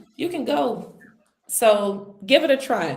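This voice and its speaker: A woman with an American accent speaks in an animated tone, her pitch swinging very widely. The room adds an audible echo. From United States. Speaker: interview guest, travel entrepreneur. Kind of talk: casual interview. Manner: emphatic, animated.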